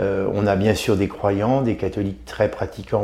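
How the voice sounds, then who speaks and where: Noticeable background noise under a man's fairly low-pitched voice, with ordinary pitch variation. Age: 50s. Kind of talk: interview. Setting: aboard a navy ship. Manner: halting, many hesitations.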